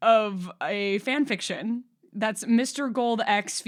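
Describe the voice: The recording is plain reading aloud.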